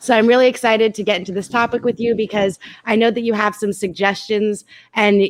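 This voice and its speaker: A woman's fairly high voice, flat and monotone, at a fairly quick pace. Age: 30s. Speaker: live stream host. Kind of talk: casual chat.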